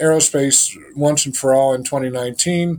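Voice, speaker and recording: Using an ordinary speaking voice, the man talks at a fairly high pitch, his pitch variation ordinary. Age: 60s. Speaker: spiritual healer and former rocket scientist. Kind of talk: interview.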